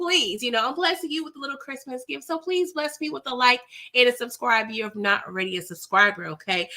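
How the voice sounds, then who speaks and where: With a high pitch and a bright, sharp tone, a woman talks in an animated way at a fairly quick pace with hardly any pauses, very wide pitch swings and big swings in loudness. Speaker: film recap youtuber. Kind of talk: movie recap and review. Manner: animated, conversational.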